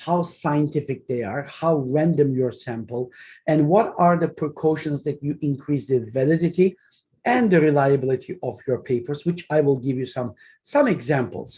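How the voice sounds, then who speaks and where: With a Turkish accent, the speaker talks at a moderate pace against a quiet background. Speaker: academic researcher. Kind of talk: lecture. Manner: hesitant, with fillers.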